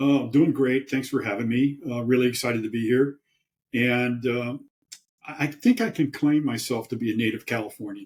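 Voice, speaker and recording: A man with an American accent talks at a medium pitch with ordinary pitch variation. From US East Coast. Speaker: professor. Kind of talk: interview.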